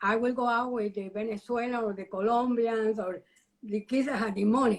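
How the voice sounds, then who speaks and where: With a Cuban accent, a woman speaks at a fairly high pitch. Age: 70s. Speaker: retired educator and university alumna. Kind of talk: interview. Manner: animated.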